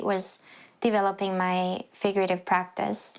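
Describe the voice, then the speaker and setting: A woman at medium pitch with a Spanish accent, monotone, flat intonation and a moderate pace, on a very clean recording with a silent background. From Puerto Rico. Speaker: sculptor. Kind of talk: documentary interview.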